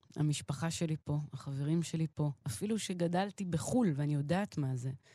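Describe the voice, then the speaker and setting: A woman's very deep, low, somewhat breathy voice with a dark, mellow tone, at a fairly slow pace, in a dry, close sound with no echo. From Israel, partly raised in Queens, New York. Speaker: jazz pianist and singer-songwriter. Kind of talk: interview.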